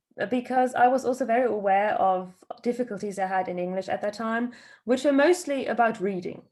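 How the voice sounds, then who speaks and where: A woman with a British accent, fairly high in pitch, fairly quick in pace and lively in intonation. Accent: posh British English. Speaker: podcast co-host. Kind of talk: casual chat.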